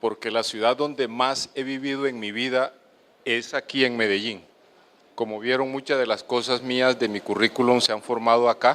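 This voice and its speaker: The pace is moderate. The intonation stays flat and monotone. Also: man, medium pitch for a man. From Colombian Caribbean coast. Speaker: doctor. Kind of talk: lecture. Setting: auditorium with audience.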